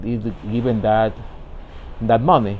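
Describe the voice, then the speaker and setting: There is audible room echo as a man speaks with a Spanish accent. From Ecuador. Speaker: vlogger, professional immigrant. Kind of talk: personal vlog monologue. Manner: halting, many repetitions and fillers.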